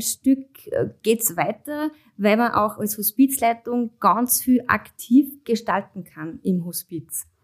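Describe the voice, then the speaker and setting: Ordinary pitch variation at a very slow pace. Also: woman. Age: 30s. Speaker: hospice manager and nurse. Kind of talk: interview.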